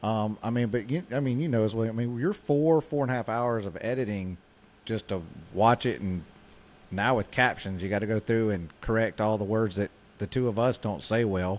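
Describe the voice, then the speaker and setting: This man talks with a Southern US accent at a moderate pace. His pitch is medium, with ordinary variation. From US South. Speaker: podcast co-host. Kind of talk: casual chat.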